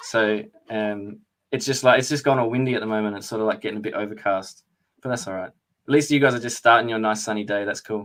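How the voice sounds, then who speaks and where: A man speaks with an Australian accent. He goes at a very fast pace with fairly even intonation. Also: medium pitch for a man. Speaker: live stream host, coding educator. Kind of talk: live stream tutorial. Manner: casual.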